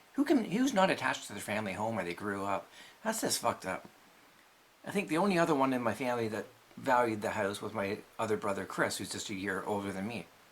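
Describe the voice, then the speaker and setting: Over noticeable background noise, a man with a fairly low pitch talks at a very fast pace and ordinary pitch variation. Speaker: vlogger and musician. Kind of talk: personal vlog monologue. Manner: stuttery.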